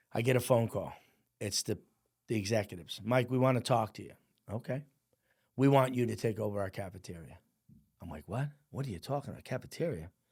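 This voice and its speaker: In a very clean recording with a silent background, a man with a New Jersey accent talks at a very fast pace yet with long, frequent pauses, at medium pitch with ordinary pitch variation, somewhat breathy, with big swings in loudness. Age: 60s. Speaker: firefighter and business owner. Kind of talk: podcast interview storytelling. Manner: animated.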